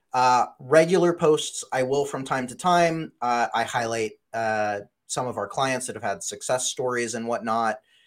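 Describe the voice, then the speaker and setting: A man in an ordinary speaking voice, medium pitch with ordinary pitch variation, at a fairly slow pace, on a very clean recording with a silent background. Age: 30s. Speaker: digital marketing agency CEO. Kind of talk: interview.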